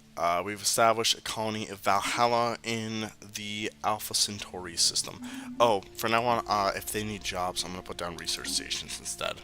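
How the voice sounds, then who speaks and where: A man keeps a moderate pace while music is heard in the background. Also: fairly low pitch for a man, fairly even intonation. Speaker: gaming streamer. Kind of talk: live gameplay commentary. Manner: casual, many fillers.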